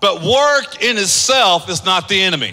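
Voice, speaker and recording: Over noticeable background noise, a man projects a raised voice with ordinary pitch variation. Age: 50s. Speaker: pastor. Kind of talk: sermon. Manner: animated.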